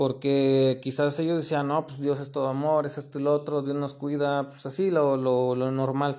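With a Mexican accent, a man talks at a moderate pace in a fairly high pitch, his intonation monotone and flat, with hardly any pauses. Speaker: podcaster. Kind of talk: casual monologue. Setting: recorded late at night. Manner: halting.

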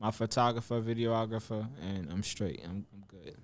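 A man speaks at a medium pitch with a New York accent. His pitch varies in an ordinary way, and his pace is moderate. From New York (Mount Vernon, Westchester). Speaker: rapper. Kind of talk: casual interview.

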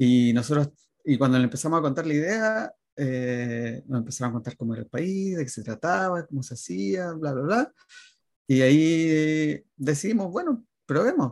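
A man talks at a moderate pace in a normal speaking voice. His pitch is fairly high and his intonation lively. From Chile, Viña del Mar area. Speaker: emigrant, designer and youtuber. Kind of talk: interview.

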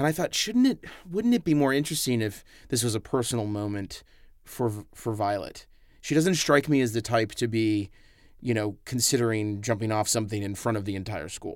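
In a very clean recording with a silent background, a man talks at a fairly quick pace. He has an unremarkable speaking voice, medium in pitch, with ordinary pitch variation. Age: 30s. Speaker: film director. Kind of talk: film commentary.

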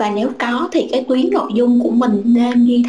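A woman speaks at a moderate pace in a high pitch. Noticeable background noise sits behind her. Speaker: pharma marketing professional. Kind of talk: panel discussion. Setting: video call.

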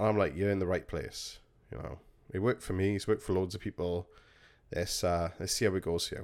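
Recorded very cleanly with a silent background, a man speaks in an English accent, his pitch varying in an ordinary way. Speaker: podcast host and vape shop worker. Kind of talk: casual storytelling monologue. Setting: home recording on a squeaky chair.

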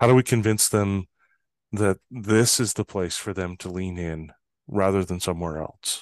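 At a moderate pace, a man talks with a very deep, low pitch and ordinary pitch variation, in a dry, close sound with no echo over a quiet background. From northern Canada. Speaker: trust expert and consultant. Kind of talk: interview conversation.

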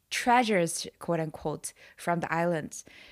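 On a very clean recording with a silent background, a woman of fairly low pitch speaks at a fairly slow pace with a Chinese accent. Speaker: podcast host. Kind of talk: casual chat.

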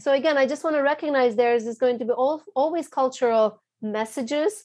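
A woman talks at a fairly quick pace with a non-native accent. Her pitch is high, with ordinary pitch variation. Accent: foreign. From abroad, moved to US at 14. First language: not English. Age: 30s. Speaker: psychologist. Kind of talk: interview.

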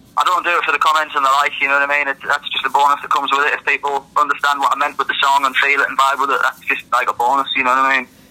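Very fast speech from a man with a fairly high pitch, over noticeable background noise. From northern England. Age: 20s. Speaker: rapper and producer. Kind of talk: casual interview chat. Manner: casual, conversational.

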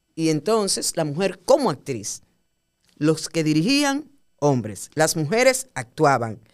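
Speaking very slowly, a woman with a Dominican accent uses a fairly low pitch. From Dominican Republic, Puerto Plata. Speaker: theatre director and actress. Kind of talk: casual interview. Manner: animated.

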